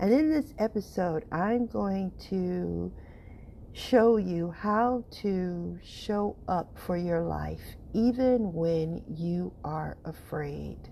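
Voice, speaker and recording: This woman talks very slowly with lively intonation at a fairly low pitch. Her tone is dark and mellow. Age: middle-aged. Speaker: podcast host and health coach. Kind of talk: podcast monologue.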